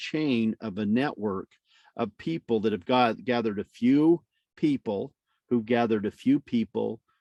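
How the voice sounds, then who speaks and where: A man with a dark, mellow tone speaks at a moderate pace and medium pitch, with ordinary pitch variation, in a dry, close sound with no echo against a quiet background. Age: 60s. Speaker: network marketing trainer. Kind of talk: training presentation. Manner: halting.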